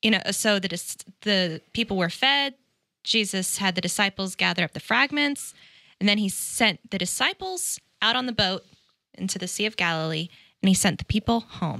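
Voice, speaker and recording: A woman speaks in a bright, sharp tone against a quiet background, the sound dry with no echo. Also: ordinary pitch variation, moderate pace. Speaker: Bible study co-host, church staff. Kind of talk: casual Bible study discussion. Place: studio. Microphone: studio mic.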